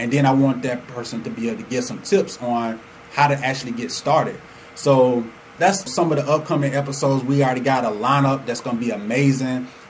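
Over noticeable background noise and audible room echo, a man speaks at a fairly quick pace and a medium pitch. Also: ordinary pitch variation. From Atlanta, Georgia (born Chicago). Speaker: entrepreneur and podcast host. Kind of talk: casual monologue.

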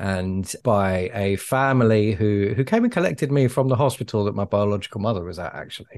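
With a southern English accent, a man talks at a fairly quick pace in a fairly low pitch against a quiet background. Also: ordinary pitch variation, hardly any pauses. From England. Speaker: public speaking coach. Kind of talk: casual chat.

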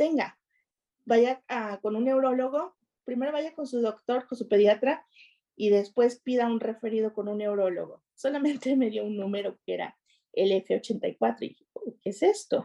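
A woman speaks fairly slowly in a dark, mellow tone at a fairly high pitch, with ordinary pitch variation and big swings in loudness. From Mexico, Nuevo Laredo, Tamaulipas. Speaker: parent. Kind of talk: interview. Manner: halting.

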